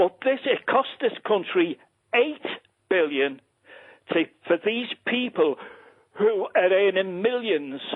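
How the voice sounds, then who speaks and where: The speaker has a Liverpool accent and a fairly slow pace. The intonation is lively. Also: man. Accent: Scouse (Liverpool). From Liverpool, England. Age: 60s. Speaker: caller. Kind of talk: phone-in call. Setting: phone call. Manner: passionate, animated.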